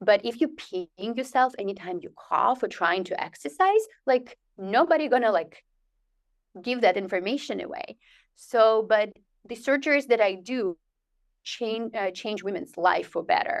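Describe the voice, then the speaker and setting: Speaking at a moderate pace with a non-native accent, a woman with a fairly high voice uses lively intonation and big swings in loudness on a very clean, silent recording. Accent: foreign. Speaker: physician, urogynecologist. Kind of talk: interview.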